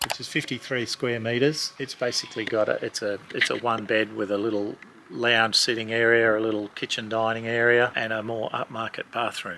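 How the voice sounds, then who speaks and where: Over noticeable background noise, a man with an Australian accent speaks at a fairly quick pace in a monotone, flat intonation with hardly any pauses. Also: medium pitch for a man. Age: 60s. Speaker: owner-builder, parent of the channel host. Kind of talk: casual home tour chat.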